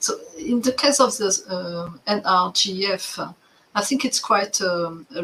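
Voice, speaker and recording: Noticeable background noise sits behind a woman's voice. Her pitch varies in an ordinary way. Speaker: development agency staff. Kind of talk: work meeting. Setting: video call.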